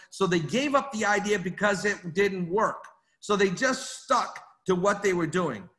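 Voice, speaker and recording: Against a quiet background, a man with an American accent speaks at a fairly slow pace in a high pitch, his bright, sharp tone showing ordinary pitch variation and very even loudness. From Maine, US (Portland); Maine. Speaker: network marketing executive; presenter. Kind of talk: business training talk. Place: home room. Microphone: webcam.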